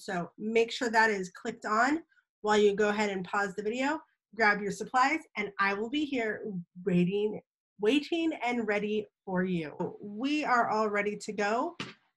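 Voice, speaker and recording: A woman's pitch shifts in a normal way against a quiet backdrop. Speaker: teacher. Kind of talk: tutorial for children. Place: home room. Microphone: webcam.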